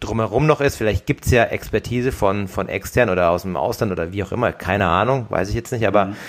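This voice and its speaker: A man rattles along at a very fast pace with hardly any pauses, his fairly low voice showing ordinary pitch variation. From Germany, Darmstadt (Hesse). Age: 30s. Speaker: professional triathlete, podcast co-host. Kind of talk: casual chat.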